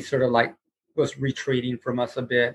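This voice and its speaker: A man at a medium pitch and moderate pace, an ordinary speaking voice. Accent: American. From Houston, Texas. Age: 60s. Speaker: guitarist and guitar teacher. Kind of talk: casual interview chat.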